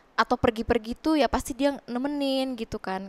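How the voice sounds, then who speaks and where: Fairly quick delivery with ordinary pitch variation and a dry sound with no echo. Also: woman. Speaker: widow guest; interview guest. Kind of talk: emotional interview about grief. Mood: emotional, grieving, reflective. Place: studio. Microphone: headset.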